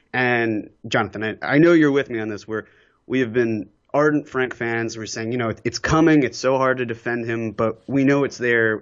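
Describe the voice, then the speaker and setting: A man talks at a fairly quick clip in a medium-pitched voice. It is an ordinary speaking voice. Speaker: podcast guest. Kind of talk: casual chat.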